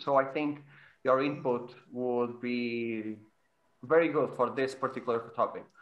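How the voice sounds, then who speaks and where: A man's intonation stays monotone and flat as he talks at a moderate pace. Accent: Portuguese. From Portugal. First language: Portuguese. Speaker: podcast host, virtual photographer. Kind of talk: casual roundtable chat. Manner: halting, repeats words.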